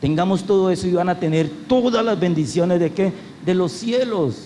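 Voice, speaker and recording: A man's speech has audible room echo along with noticeable background noise. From Colombia, Cali. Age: 60s. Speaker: pastor. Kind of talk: sermon.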